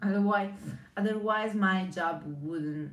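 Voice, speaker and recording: In an Italian accent, a woman with a medium pitch speaks at a very slow pace with fairly even intonation, and audible room echo surrounds her voice. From Italy. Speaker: brand strategist. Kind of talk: live stream monologue. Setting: live video stream. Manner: halting.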